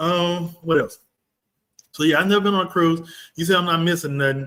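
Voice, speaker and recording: Animated in tone, a man with a Texan accent speaks at a moderate pace and a fairly high pitch. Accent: Texas, country. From Texas, Dallas. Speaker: livestream host, real estate commentator. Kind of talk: casual livestream chat. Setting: livestream.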